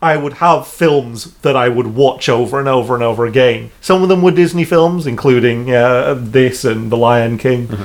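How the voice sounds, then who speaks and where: A man with a plain, everyday voice speaks at medium pitch and a moderate pace, his pitch varying in an ordinary way. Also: hardly any pauses. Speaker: podcast co-host. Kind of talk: casual chat.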